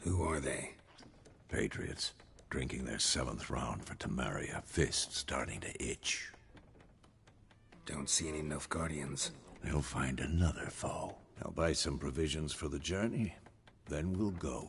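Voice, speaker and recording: A man's put-on character voice, very deep and low, with long, frequent pauses over clear background noise. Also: fairly slow pace. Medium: video game. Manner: terse, clipped.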